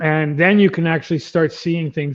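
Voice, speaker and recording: The speaker is male. His voice sits high for a man. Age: 50s. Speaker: beekeeper. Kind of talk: casual chat. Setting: live stream.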